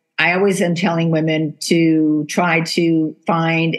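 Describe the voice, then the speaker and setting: A woman speaks in a normal speaking voice, fairly low in pitch. Her intonation is fairly even. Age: 60s. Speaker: podcast host. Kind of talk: interview conversation.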